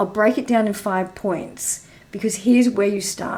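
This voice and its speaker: Using a put-on character voice, a woman speaks hoarse and croaky at a medium pitch and moderate pace. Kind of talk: clear, organized, coach-style.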